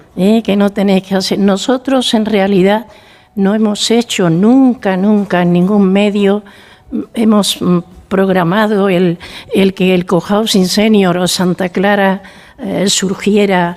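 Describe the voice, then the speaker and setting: A woman's medium-pitched voice, very slow, with fairly even intonation and very even loudness, over noticeable background noise. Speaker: founder of a senior cohousing community. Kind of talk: radio interview.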